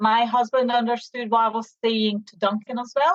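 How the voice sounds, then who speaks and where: A woman speaks with a Hungarian accent at a moderate pace. Her voice is fairly high in pitch. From Hungary, Debrecen. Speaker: business owner, mother. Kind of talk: interview.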